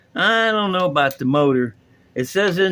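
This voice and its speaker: The man sounds bright and sharp yet relaxed, his pitch swinging very widely. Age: 60s. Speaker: hobbyist video host. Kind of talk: casual tutorial. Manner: relaxed, rambling.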